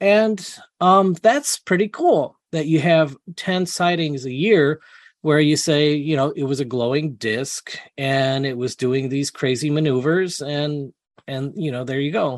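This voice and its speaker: A man with an American accent and fairly high pitch, ordinary pitch variation, a dry, close sound with no echo and a quiet background. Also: fairly slow pace. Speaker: UFO investigator. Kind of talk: interview. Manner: halting, many fillers.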